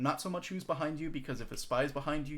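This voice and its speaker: Words come out very fast from a man. His intonation stays flat and monotone. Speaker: competitive game coach. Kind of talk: tutorial.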